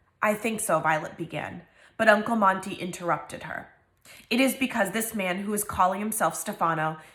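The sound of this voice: The clip has an unforced reading voice. Its pitch variation is ordinary.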